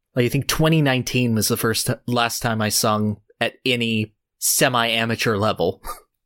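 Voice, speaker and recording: A man speaks at a medium pitch and moderate pace, his intonation fairly even and his loudness very even. The sound is dry and close, with no echo. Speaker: podcast host. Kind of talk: casual chat.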